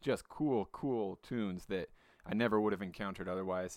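On a very clean recording with a silent background, the words come fairly quickly. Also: man. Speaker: podcast host. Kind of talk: casual podcast intro. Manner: informal, hesitant.

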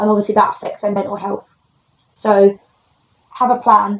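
Talking at a very fast pace, a woman with a London accent keeps a medium pitch and monotone, flat intonation. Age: 20s. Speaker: personal trainer. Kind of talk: casual chat.

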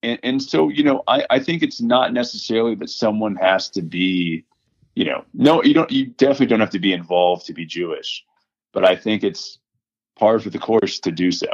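A man with an American accent and an unremarkable speaking voice, medium in pitch, at a fairly quick pace with lively intonation. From Houston, Texas. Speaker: biotech operations director. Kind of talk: interview.

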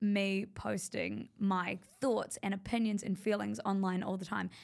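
A woman with a normal speaking voice, medium in pitch, at a fairly slow pace on a very clean recording with a silent background. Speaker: media company founder. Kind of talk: casual interview chat.

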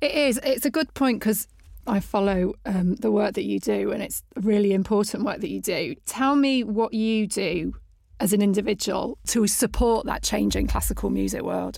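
In a very clean recording, a woman with a British accent speaks at a moderate pace. The background is silent. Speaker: podcast host. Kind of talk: interview conversation. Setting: studio.

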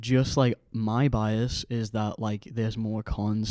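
In a very clean recording with a silent background and a dry, close sound without echo, a man speaks very slowly in a dark, mellow tone. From Ireland, near Dublin. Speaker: podcast co-host. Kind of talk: casual chat.

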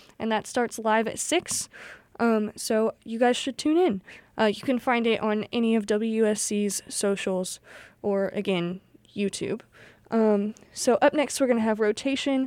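Speaking at a fairly slow pace, a woman uses an ordinary speaking voice, fairly high-pitched, with ordinary pitch variation. The recording is very clean, with a silent background. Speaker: college radio DJ. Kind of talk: radio DJ patter introducing songs and station IDs. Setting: radio studio broadcast. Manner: friendly, casual, upbeat with frequent filler 'um'.

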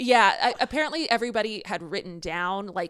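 A woman is speaking. Her tone is animated. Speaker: podcast co-host. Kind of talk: casual chat.

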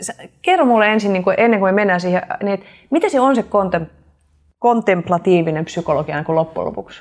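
Here a woman talks at a very fast pace. Her intonation is lively. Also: medium pitch for a woman. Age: 40s. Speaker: podcast host and coach. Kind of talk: casual interview. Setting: video recording.

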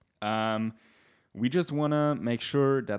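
Captured in a very clean recording with a silent background, a normal speaking voice moves at a fairly slow pace with ordinary pitch variation. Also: man. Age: 20s. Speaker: podcast co-host. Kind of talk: casual chat.

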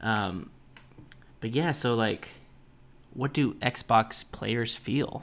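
A man talks at a very slow pace, with long, frequent pauses and vocal fry. His pitch varies an ordinary amount, and the recording is very clean with a silent background. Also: medium pitch for a man. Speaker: gaming podcast host. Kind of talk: casual solo podcast monologue. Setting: home recording, pets nearby. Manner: casual, filler-heavy.

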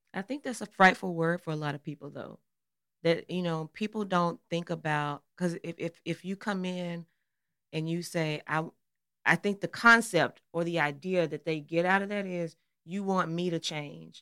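This woman talks at a moderate pace with a slight Southern US accent, her fairly low pitch showing ordinary variation and a bright, sharp tone. The recording is very clean, with a silent background. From Arkansas, US South. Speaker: pastor's wife and podcast co-host. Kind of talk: casual podcast conversation with spouse.

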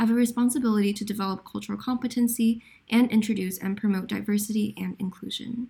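At a very fast pace, a woman speaks with a fairly high pitch and a dark, mellow tone. Her voice is somewhat breathy, and her intonation is monotone and flat. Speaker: podcast host. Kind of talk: scripted student podcast.

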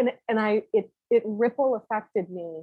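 Ordinary pitch variation marks a woman's voice as she speaks at a fairly slow pace. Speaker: podcast interviewer. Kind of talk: casual interview conversation.

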